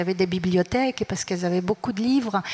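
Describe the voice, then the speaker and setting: A woman at medium pitch keeps a fairly even intonation, with noticeable background noise behind her. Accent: Arabic. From Morocco. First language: Arabic (speaking French). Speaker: writer and festival organizer. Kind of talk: panel talk.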